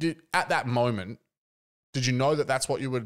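On a very clean recording with a silent background, a man with an Australian accent speaks at a fairly quick pace, in a medium pitch with ordinary pitch variation. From Adelaide, Australia. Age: 30s. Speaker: podcast host. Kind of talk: casual chat.

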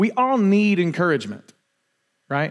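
A man is speaking. The background is silent and the recording very clean. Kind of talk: sermon. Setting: church. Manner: casual, conversational.

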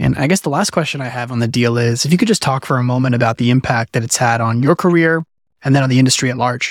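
A man's ordinary speaking voice, medium in pitch with ordinary pitch variation, dry and close with no echo, on a very clean recording against a silent background. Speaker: podcast host. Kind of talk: interview conversation.

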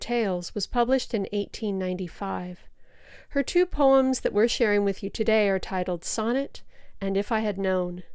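Ordinary pitch variation marks this woman's unremarkable speaking voice, pitched fairly high. The recording is very clean, with a silent background. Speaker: podcast host and poem reader. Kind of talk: poetry reading, solemn and lyrical. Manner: measured, slow, expressive.

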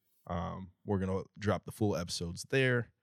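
In a very clean recording with a silent background and a dry, close sound with no echo, a man with a normal speaking voice talks at a moderate pace at a fairly low pitch. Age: 30s. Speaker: podcast co-host, works in tech sales. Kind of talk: casual chat.

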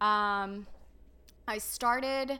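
A woman's medium-pitched voice with a bright, sharp tone and an American accent. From US, Dallas Texas area. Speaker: registered nurse. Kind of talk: testimony.

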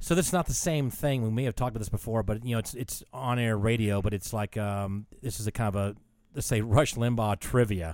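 The recording is very clean with a silent background. A man at medium pitch speaks at a fairly quick pace with ordinary pitch variation. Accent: Southern US. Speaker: podcast co-host. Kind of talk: casual chat.

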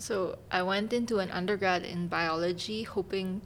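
A woman's unremarkable speaking voice at medium pitch and moderate pace. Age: 20s. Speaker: master's student in bioinformatics. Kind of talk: casual chat.

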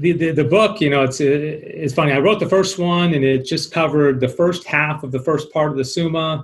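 A man speaks at a moderate pace with hardly any pauses, in a fairly high, somewhat breathy voice. His intonation is fairly even. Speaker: radio host, author, teacher. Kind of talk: interview, casual chat.

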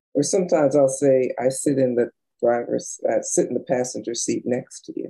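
A woman's voice comes across dry and close, with no echo. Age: 60s. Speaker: business and money coach. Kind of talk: interview. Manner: energetic.

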